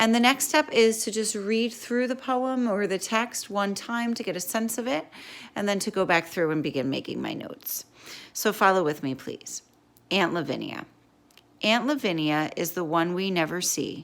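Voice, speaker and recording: Using an ordinary speaking voice, a woman talks at a moderate pace in a medium pitch with lively intonation. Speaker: teacher. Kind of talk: tutorial.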